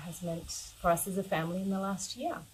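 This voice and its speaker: Somewhat breathy, a woman with an Australian accent speaks at a medium pitch with fairly even intonation. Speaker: yoga teacher. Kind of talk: personal talk to camera.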